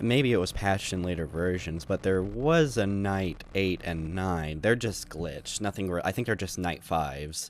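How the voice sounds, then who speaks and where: There's vocal fry in this man's very deep, low voice as he speaks at a moderate pace. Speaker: gaming youtuber. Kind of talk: gameplay commentary. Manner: halting, many fillers.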